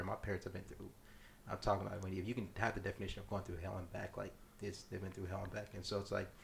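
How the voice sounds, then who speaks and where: A man talks very fast in a fairly low, somewhat breathy voice. His intonation stays flat and monotone. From South Sudan, raised in US. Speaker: entrepreneur. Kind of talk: casual chat.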